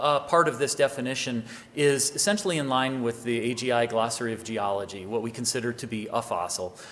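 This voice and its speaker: Delivered at a fairly quick pace with ordinary pitch variation, the speech sits over noticeable background noise. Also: man. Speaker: government agency official. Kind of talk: conference presentation. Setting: conference hall with audience. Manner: fast.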